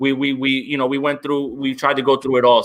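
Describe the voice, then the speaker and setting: A man at medium pitch, talking at a very fast pace. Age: 30s. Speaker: football analyst and podcaster. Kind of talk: casual chat. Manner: halting, many fillers.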